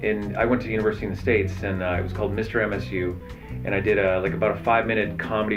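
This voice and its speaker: Over music in the background, a man speaks very fast in an enthusiastic tone. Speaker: voice actor. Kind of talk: interview answer. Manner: casual, enthusiastic.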